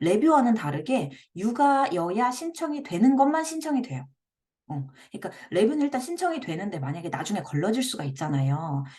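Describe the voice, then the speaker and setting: A woman's fairly high voice, dark and mellow in tone, somewhat breathy, with very wide swings in pitch. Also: fairly quick pace. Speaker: blogging coach, parenting blogger. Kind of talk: tutorial. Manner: speeds up when excited.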